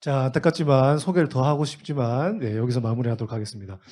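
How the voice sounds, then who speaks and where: A man at a fairly quick pace. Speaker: teacher training instructor. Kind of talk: teacher training lecture. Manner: fast.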